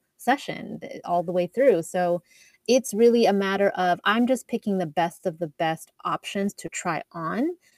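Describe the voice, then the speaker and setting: In a dry, close recording with no echo, a woman with a Canadian accent speaks in an unremarkable speaking voice at a medium pitch and moderate pace, with ordinary pitch variation. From Canada, Edmonton, Alberta. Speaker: wardrobe stylist. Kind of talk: interview.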